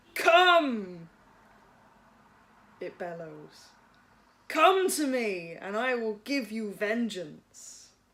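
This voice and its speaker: In a put-on character voice with a fairly high pitch, the speaker goes at a very slow pace and leaves long, frequent pauses. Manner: commanding, vengeful.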